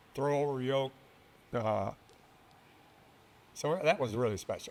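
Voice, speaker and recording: A man speaks with a Texan accent at a medium pitch. His pace is fairly slow, with ordinary pitch variation. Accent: Texan American. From South Texas (Harlingen). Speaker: retired naval officer and aviator. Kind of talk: interview. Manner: halting.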